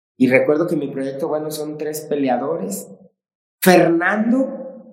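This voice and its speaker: A man's voice carries audible room echo. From Mexico. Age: 40s. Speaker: martial arts coach. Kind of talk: casual interview chat.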